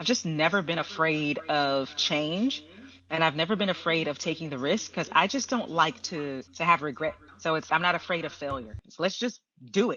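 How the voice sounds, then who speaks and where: A woman's ordinary speaking voice with an American accent, lively intonation and a moderate pace. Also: fairly low pitch for a woman. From Texas, Houston. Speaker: screenwriter and script consultant. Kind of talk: interview conversation. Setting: podcast.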